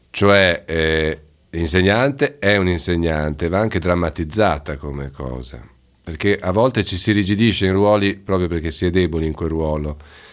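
A man with a very deep, low voice talks at a moderate speed, his pitch varying in an ordinary way. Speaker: teacher. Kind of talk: casual radio conversation. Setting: studio.

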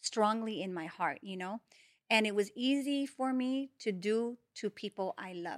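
In a plain, everyday voice, the speaker goes at a moderate pace with ordinary pitch variation and big swings in loudness, captured dry and close with no echo in a very clean recording with a silent background. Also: woman, fairly high pitch for a woman. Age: 40s. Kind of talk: testimony.

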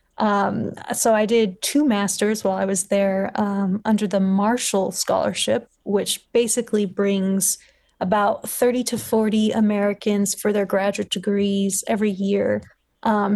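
Monotone, flat intonation from a woman with a Californian accent, over a quiet background. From Los Angeles, California. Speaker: PhD student, vaccine researcher. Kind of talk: interview conversation.

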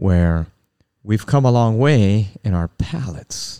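In a very clean recording with a silent background, a man speaks in a dark, mellow tone. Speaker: podcast host. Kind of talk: casual religious podcast chat.

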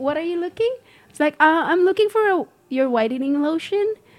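Moderate pace and lively intonation. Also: woman. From Philippines, Mindanao. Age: 40s. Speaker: businesswoman. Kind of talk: casual chat.

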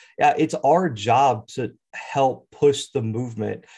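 A somewhat breathy man with an American accent, against a quiet background. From US South, Mobile, Alabama. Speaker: college football YouTube analyst. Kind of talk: casual sports talk.

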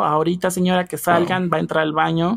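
This woman talks very fast in a fairly low voice. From Mexico, Hidalgo. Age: 20s. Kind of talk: interview. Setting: remote recording.

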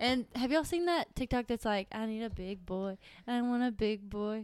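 Speaking at a moderate pace in a Southern US accent, a woman has a fairly high pitch and ordinary pitch variation, in a very clean recording with a silent background. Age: 20s. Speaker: accountant. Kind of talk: casual chat. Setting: at home.

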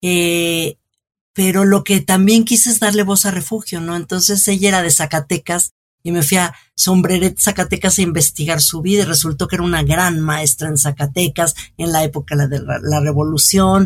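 A woman speaks at a moderate pace in a fairly low, somewhat breathy voice. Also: ordinary pitch variation. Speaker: cultural journalist and author. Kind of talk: interview.

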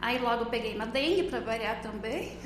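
A woman talks at a moderate pace in a high-pitched voice, with audible room echo and noticeable background noise. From Rio Grande do Sul, Brazil (Não-Me-Toque). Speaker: farmer and mother. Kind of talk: casual interview.

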